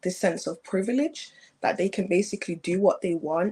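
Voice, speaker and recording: A woman with a British accent talks at a moderate pace in a fairly low pitch. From England. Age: young. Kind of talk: interview answer.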